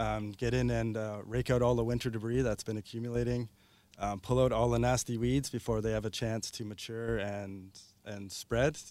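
With a Canadian accent and an ordinary speaking voice, a man talks at medium pitch and a moderate pace. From Ontario, Canada. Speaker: gardener. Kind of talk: casual chat. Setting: studio.

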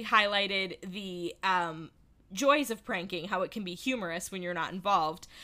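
Animated in tone and lively in intonation, a woman speaks at a fairly slow pace. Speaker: podcast host. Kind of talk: casual chat.

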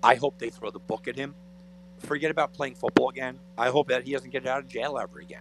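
A man's fairly high voice at a very fast pace, with fairly even intonation, big swings in loudness and music in the background. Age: 40s. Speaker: sports radio co-host. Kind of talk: sports talk radio. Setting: radio studio.

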